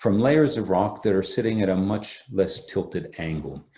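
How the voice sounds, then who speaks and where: Here a man has a somewhat breathy voice with a dark, mellow tone and a fairly low pitch. Audible room echo surrounds his speech. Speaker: geology professor. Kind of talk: lecture. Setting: remote online talk.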